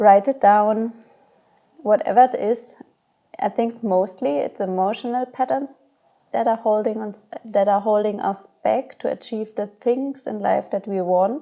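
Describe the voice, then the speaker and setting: A woman with a non-native accent speaks at a very slow pace. Her fairly high pitch has a dark, mellow tone and ordinary pitch variation. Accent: non-native English speaker. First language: not English. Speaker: astrology guide. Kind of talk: spiritual guidance monologue.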